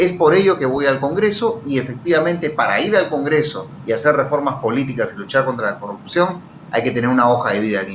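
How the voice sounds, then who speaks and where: Speech at a fairly quick pace with very wide pitch swings is heard through audible room echo and noticeable background noise. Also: man, fairly high pitch for a man. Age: 30s. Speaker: politician, congressional candidate and lawyer. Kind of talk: political interview.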